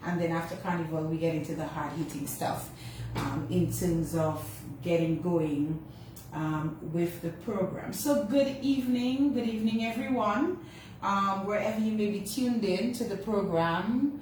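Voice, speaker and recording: Amid noticeable background noise and audible room echo, a woman speaks at a moderate pace with lively intonation. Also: medium pitch for a woman. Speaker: radio host. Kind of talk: radio show opening monologue. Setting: radio studio, also streamed on social media. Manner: casual, halting with fillers.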